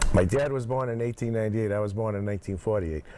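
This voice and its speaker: A dark, mellow tone comes through with a Massachusetts accent. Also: man. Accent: New England (Massachusetts). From Plymouth, Massachusetts. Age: 60s. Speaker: former town selectman, construction equipment owner. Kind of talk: casual interview.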